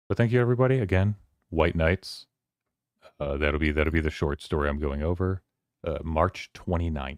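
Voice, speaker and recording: In a dry, close sound with no echo, a man with a very deep, low voice talks at a moderate pace, with long, frequent pauses. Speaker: streamer hosting a book club. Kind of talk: casual livestream chat.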